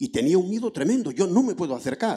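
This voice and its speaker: In a quiet background, a man speaks at a fairly quick pace with a dark, mellow tone. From rural Basque Country. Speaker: audience member. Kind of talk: audience question. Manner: halting. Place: hall.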